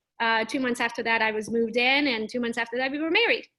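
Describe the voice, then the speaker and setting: Her tone is bright and sharp. The woman's voice sits high. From Transylvania, Romania (Hungarian minority). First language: Hungarian. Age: 30s. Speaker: real estate agent. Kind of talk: interview. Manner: casual, lively.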